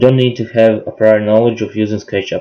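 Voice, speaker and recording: A man with a non-native accent talks at a moderate pace and medium pitch, keeping his intonation monotone and flat. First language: not English. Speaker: hobby woodworker, software tutorial maker. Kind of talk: tutorial.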